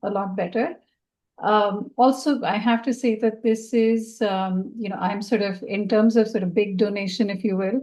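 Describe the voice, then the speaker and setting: A woman's medium-pitched voice with a Marathi accent, fairly even intonation and a moderate pace, over a quiet background. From India, Maharashtra (Pune). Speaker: donor. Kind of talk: panel discussion. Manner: halting, many fillers.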